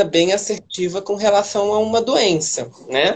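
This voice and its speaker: A woman talks at a fairly slow pace in a normal speaking voice. Her pitch shows ordinary variation. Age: 20s. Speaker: city councillor and activist. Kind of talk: livestream interview.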